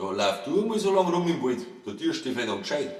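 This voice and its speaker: Noticeable background noise surrounds a man speaking at a moderate pace in a Bavarian accent. His high pitch moves in very wide swings. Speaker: author reading own book. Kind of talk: humorous verse fairy tale reading.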